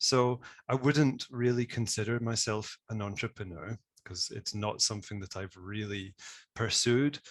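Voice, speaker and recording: A man at medium pitch and a moderate pace, with ordinary pitch variation and a dry, close sound with no echo against a quiet background. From Scotland, west coast (Isle of Bute). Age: 30s. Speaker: conversation designer and audio specialist. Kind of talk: interview.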